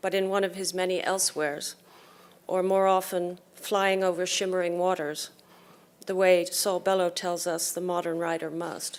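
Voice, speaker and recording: A woman's flat, monotone delivery at medium pitch. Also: moderate pace. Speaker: poet and translator. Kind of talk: event introduction.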